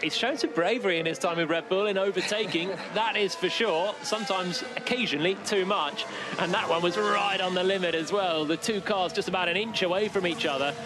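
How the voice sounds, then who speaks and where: Against noticeable background noise, a man talks in an animated tone at high pitch, with very even loudness, ordinary pitch variation and a dry sound with no echo. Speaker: race commentator. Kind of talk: live race commentary. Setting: radio broadcast. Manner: animated, quick, urgent play-by-play. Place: booth.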